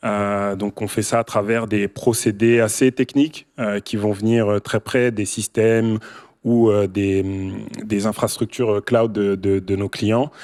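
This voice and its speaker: In a very clean recording with a silent background and a dry, close sound with no echo, a man with a fairly low pitch speaks at a very slow pace in a monotone, flat intonation. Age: 30s. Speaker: tech company founder and CEO. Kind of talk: panel discussion. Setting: stage with audience.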